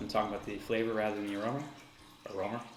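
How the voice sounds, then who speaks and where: A man's voice is heard with audible room echo. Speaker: homebrewer reviewing own beer. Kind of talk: casual solo review. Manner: hesitant, many fillers; loud.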